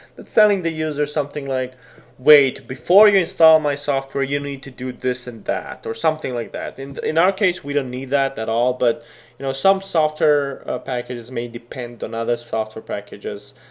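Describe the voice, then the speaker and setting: A man speaks with a Serbian accent at a fairly high pitch. His pace is moderate, with ordinary pitch variation. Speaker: programming tutor. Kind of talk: screen-recorded tutorial. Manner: casual, with many fillers.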